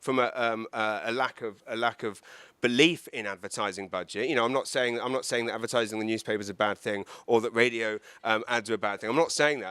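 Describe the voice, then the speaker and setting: In an English accent, a man races along at a very fast pace with a bright, sharp tone. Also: dry, close sound with no echo, very clean recording, silent background. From England. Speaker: comedian. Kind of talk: talk to live audience. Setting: event with audience, handheld mic, live streamed. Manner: halting, many repetitions.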